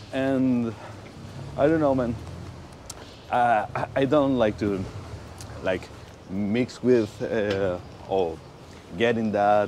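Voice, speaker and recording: Amid noticeable background noise, a man with a Spanish accent speaks at a very slow pace in a medium-pitched voice with ordinary pitch variation and long, frequent pauses. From Venezuela. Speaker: motorcycle rider and viewer of the channel. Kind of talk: casual chat. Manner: hesitant, with repeated words.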